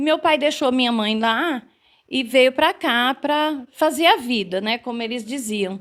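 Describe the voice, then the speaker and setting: The recording is very clean, with a silent background. The pace is fairly slow and the pitch varies in an ordinary way. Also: woman, high pitch for a woman. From interior of São Paulo state, Brazil. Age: 60s. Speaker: teacher. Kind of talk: interview.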